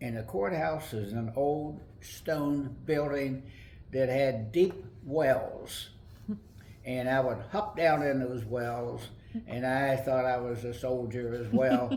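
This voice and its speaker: This man has an American accent, a medium pitch and a somewhat breathy voice, with ordinary pitch variation. He speaks at a very slow pace, and audible room echo is present. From West Virginia, Webster Springs. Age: 80s+. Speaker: retired library director. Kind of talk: oral history interview.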